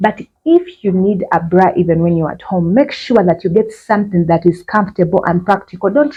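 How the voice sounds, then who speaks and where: The voice is dark, mellow and somewhat breathy, moving at a moderate pace with ordinary pitch variation. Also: woman. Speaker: fashion vlogger. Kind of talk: tutorial. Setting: outdoors.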